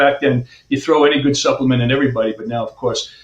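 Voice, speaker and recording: A somewhat breathy man with an American accent. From US Northeast, Long Island, New York. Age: 60s. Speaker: chiropractor. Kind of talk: interview.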